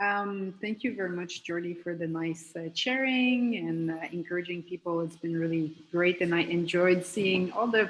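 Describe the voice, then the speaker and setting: With a French accent, a woman talks at a fairly low pitch and a fairly slow pace. Her pitch variation is ordinary, and there is noticeable background noise. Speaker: professor and electrochemist. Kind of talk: panel discussion opening statement. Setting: video call.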